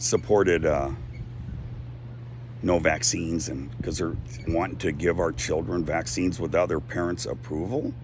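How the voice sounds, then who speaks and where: This man has a very deep, low voice, lively intonation, and long, frequent pauses. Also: moderate pace. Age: 60s. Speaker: activist vlogger. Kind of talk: casual monologue. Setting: outdoors on a deck.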